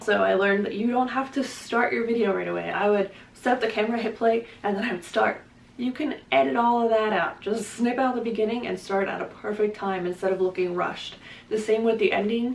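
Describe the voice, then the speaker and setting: Against noticeable background noise, a woman speaks fairly quickly at a fairly high pitch with ordinary pitch variation. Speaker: booktuber. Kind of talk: casual vlog talk to camera. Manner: fast.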